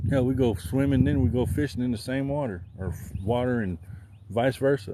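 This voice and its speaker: An American-accented man speaks at a moderate pace and a medium pitch. His intonation is lively. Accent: rural country. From Southern Illinois. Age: 40s. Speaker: outdoor livestreamer. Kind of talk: casual livestream chat. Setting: outdoors fishing.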